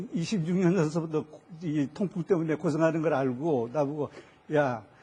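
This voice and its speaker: A man talks at a moderate pace in a fairly high pitch. His tone is dark and mellow. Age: 70s. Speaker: health testimony guest. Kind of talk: testimony. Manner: halting.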